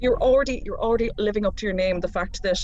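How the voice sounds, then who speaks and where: A woman talks at a very fast pace in an East Galway accent. Noticeable background noise is present. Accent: flat East Galway. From Ireland, East Galway. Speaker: quiz host, radio broadcaster. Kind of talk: live online quiz hosting. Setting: radio station studio, live stream. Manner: animated.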